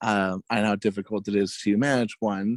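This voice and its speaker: A man speaks in an ordinary speaking voice at a fairly slow pace. The recording is very clean, with a silent background. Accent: American. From California, Fresno. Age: 20s. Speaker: podcaster. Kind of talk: casual chat.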